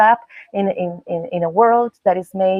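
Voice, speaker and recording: A woman's voice with lively intonation and a Spanish accent. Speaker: performer. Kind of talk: panel discussion. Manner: halting.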